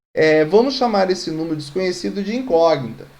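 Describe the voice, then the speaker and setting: In a room with audible echo, a man speaks at a high pitch with lively intonation. His tone is dark and mellow. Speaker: math teacher. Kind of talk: online lecture. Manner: fast.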